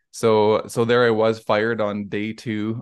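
This man has a western Canadian accent. His pitch is fairly low. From Alberta, Canada. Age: 40s. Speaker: arborist, tree service owner. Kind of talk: casual interview.

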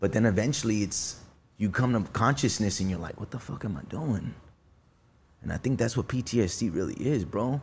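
A man talks at a moderate pace with lively intonation. His voice is fairly low and somewhat breathy. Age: 30s. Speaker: musician and recovering addict sharing his story. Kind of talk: casual chat. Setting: studio. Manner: animated.

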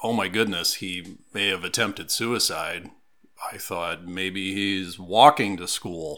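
With an American accent, a man speaks in a very deep, low pitch and a bright, sharp tone, using ordinary pitch variation. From US Midwest, rural Iowa. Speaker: suicide prevention advocate and trainer. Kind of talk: interview.

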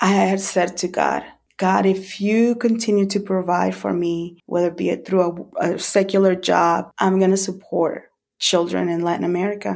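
A woman speaks at a moderate pace in a Spanish accent, her medium pitch held to a monotone, flat intonation. The recording is very clean, with a silent background. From El Salvador. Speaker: ministry volunteer. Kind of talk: testimony.

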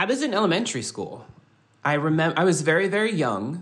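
With an unremarkable speaking voice and an American accent, a man talks at a fairly quick pace with lively intonation. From Southern California, Kumeyaay reservation. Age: 30s. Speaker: poet and TV writer. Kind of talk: casual chat.

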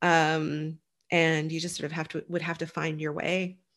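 A woman's fairly slow, fairly low-pitched speech, an unremarkable speaking voice, over a quiet background. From Nova Scotia, Canada. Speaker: digital marketer, former film producer. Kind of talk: interview conversation.

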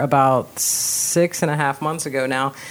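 A woman talks at a fairly slow pace in a very deep, low pitch. Noticeable background noise is present. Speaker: podcast host. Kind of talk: casual interview chat.

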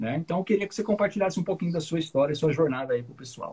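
Using a plain, everyday voice, a man speaks at a fairly high pitch with lively intonation. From Paraná, Brazil. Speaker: English teacher and podcast host. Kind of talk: casual chat.

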